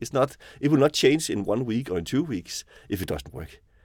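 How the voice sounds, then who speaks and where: A man with a Danish accent, medium pitch, very wide pitch swings, vocal fry and a very fast pace, on a very clean recording over a silent background. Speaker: venture investor. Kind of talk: casual chat. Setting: studio. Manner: halting, many repetitions and fillers.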